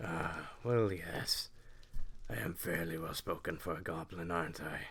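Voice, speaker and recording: Putting on a character voice, a man talks at a moderate pace in a very deep, low pitch over light background noise. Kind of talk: roleplay audio. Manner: calm, polite.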